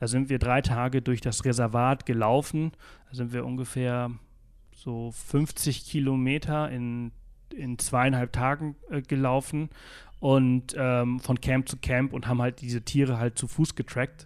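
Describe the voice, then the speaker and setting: Monotone, flat intonation from a man at a medium pitch and fairly slow pace, over a quiet background. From Mallorca, Spain. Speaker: travel blogger and podcaster, South Africa expert. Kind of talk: interview. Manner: many filler sounds (äh, ähm).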